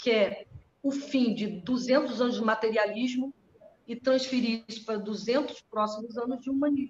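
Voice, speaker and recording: A woman's high-pitched voice at a moderate pace, her intonation fairly even. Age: 60s. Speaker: astrologer. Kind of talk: casual chat. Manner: halting.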